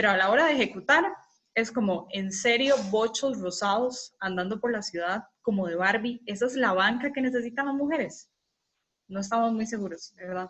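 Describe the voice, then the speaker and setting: Fairly high female voice with ordinary pitch variation. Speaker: communication lecturer. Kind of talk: lecture. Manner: fast.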